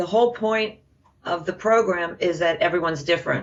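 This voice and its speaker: With a normal speaking voice, a woman talks at a medium pitch with fairly even intonation. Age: 50s. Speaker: program participant. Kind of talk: testimony.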